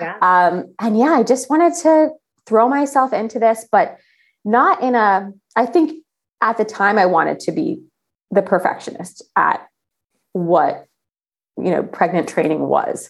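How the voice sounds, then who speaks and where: Pausing long and often, a woman speaks fairly slowly with a fairly high pitch and very wide pitch swings. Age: 30s. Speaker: travel journalist and athlete. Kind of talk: casual chat.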